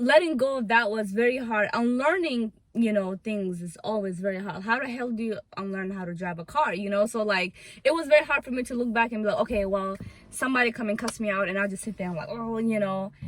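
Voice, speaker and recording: A woman with a non-native accent speaks very fast at a fairly high pitch, with ordinary pitch variation. Noticeable background noise runs beneath her. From Africa, came to US as refugee. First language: not English. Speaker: YouTuber. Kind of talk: casual chat. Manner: loud.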